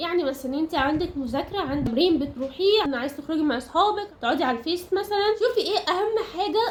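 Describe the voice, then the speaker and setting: Her voice is extremely high-pitched for a woman, with lively intonation and a fairly quick pace. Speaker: self-improvement YouTuber. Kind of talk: tutorial. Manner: conversational.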